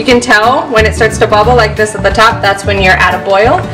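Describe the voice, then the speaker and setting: Clear background music behind a woman's voice. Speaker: cooking instructor. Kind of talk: tutorial. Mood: friendly, upbeat. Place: kitchen.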